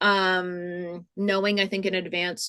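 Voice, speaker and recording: A woman at a medium pitch talks over a quiet background. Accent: slight Rhode Island. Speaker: museum programming director. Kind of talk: webinar tutorial. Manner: loud; many fillers, casual.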